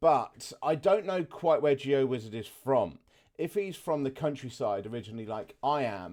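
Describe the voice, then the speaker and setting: A man with a southern English accent talks at a fairly high pitch, his voice swinging very widely up and down. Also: moderate pace. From southeast England. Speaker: gaming reaction youtuber. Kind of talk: casual gameplay commentary.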